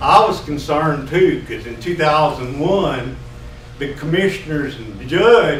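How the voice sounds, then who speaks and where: Amid noticeable background noise and audible room echo, a man with a Texas accent speaks at a moderate pace and a fairly high pitch. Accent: Texas Southern. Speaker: retired county tax assessor speaking at public comment. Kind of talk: public comment. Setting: county commissioners' meeting room. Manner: loud.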